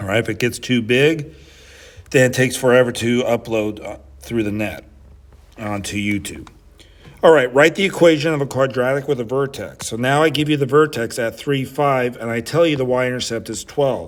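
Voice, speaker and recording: An ordinary speaking voice, moderately paced, its pitch varying in an ordinary way. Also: man, medium pitch for a man. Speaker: high school math teacher. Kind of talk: tutorial.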